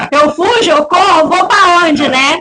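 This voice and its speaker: Raised, projected female voice with ordinary pitch variation at a moderate pace. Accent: southern Brazilian. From southern Brazil, Rio Grande do Sul. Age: 40s. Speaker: church deaconess and worship singer. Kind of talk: testimony interview.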